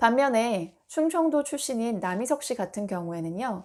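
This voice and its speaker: A woman speaks at a fairly high pitch with lively intonation and a fairly slow pace. The recording is very clean, with a silent background. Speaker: speech coach. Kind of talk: tutorial. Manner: measured, trustworthy delivery.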